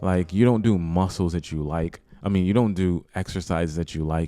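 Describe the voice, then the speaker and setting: This man's voice is very deep and low, with a dark, mellow tone. He talks at a moderate pace with ordinary pitch variation. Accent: New York. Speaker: YouTuber, language learning vlogger. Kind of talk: casual vlog tutorial. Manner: casual, with many fillers.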